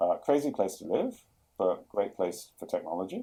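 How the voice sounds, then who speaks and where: A man with a London accent talks at a moderate pace in a dark, mellow tone. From London, England. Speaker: chief product officer. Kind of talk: podcast interview. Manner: hesitant, many fillers and repeats.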